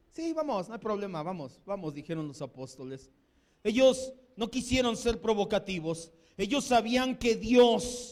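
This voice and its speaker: Animated and with lively intonation, a man speaks at a fairly slow pace in a high pitch. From Mexico. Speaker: pastor. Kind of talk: sermon.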